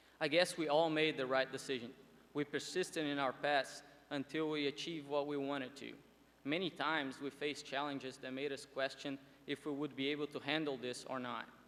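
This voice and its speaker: With a Portuguese accent, a man talks at a fairly quick pace in a fairly high pitch, his intonation monotone and flat. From Brazil, Porto Alegre. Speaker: student commencement speaker. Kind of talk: commencement speech. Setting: graduation ceremony with audience.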